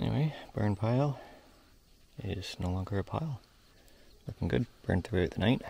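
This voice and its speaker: Long, frequent pauses break up a somewhat breathy voice with a dark, mellow tone, delivered at a moderate pace in a very clean recording with a silent background. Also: man, fairly low pitch for a man. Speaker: equipment operator vlogger. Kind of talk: casual vlog narration. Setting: outdoors.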